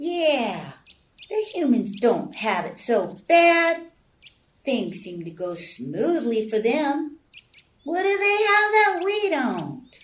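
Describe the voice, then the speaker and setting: A woman performs a put-on character voice in a high pitch. She speaks very slowly with very wide pitch swings. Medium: read story. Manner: excitable.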